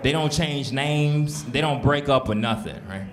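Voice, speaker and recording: A man with an American accent talks at a moderate pace in a fairly high pitch. Noticeable background noise and audible room echo are present. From Houston, Texas. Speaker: stand-up comedian. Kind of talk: stand-up. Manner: animated.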